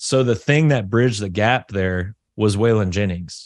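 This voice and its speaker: Speaking with a Southern US accent, a man uses a fairly low pitch and ordinary pitch variation. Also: quiet background. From US South. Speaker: metal musician. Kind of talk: interview. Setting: video call.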